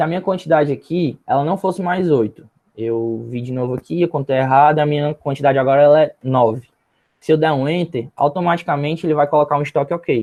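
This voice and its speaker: A man's fairly high, normal speaking voice at a fairly quick pace, with ordinary pitch variation. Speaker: minicourse instructor. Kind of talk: tutorial.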